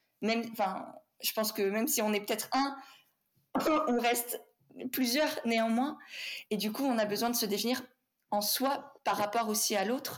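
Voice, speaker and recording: A woman with a fairly high pitch speaks in fairly even intonation at very even loudness, leaving long, frequent pauses. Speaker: podcast host and business coach. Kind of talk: interview conversation.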